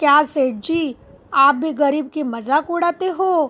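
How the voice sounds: A woman performs a cartoonish character voice at a high pitch. She talks at a fairly slow pace with ordinary pitch variation.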